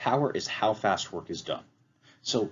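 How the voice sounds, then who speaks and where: A man speaks with vocal fry. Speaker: physics teacher. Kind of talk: lecture. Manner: casual.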